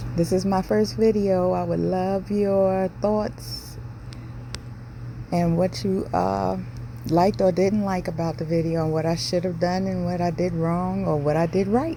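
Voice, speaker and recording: There is noticeable background noise in this clip. A woman speaks at a fairly slow pace. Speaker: home cook video host. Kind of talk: cooking tutorial voiceover. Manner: casual, chatty.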